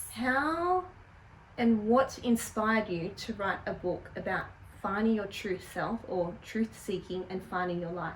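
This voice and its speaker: A woman speaks in a plain, everyday voice at medium pitch with ordinary pitch variation. Her pace is fairly slow. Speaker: interview host. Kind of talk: interviewer questions.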